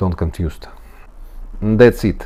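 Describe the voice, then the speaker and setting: This is a man speaking with a Russian accent. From Latvia. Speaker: engineer teaching physics. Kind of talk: tutorial. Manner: halting.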